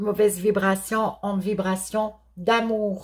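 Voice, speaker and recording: A woman of medium pitch with a Quebec accent, somewhat breathy, monotone and flat, at a very slow pace, on a very clean recording with a silent background. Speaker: therapist and card reader. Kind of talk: tarot-style spiritual guidance. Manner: halting, stammering.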